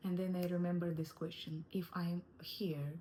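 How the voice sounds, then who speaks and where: A woman speaks with a non-native accent at a moderate pace, her pitch fairly low. Her tone is dark and mellow and somewhat breathy. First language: not English. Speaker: wellness coach. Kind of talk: online course lesson. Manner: halting.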